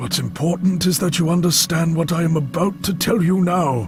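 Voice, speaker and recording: Putting on a character voice with a high pitch, a man speaks at a moderate pace over loud background noise. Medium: video game. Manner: impatient, brusque, condescending.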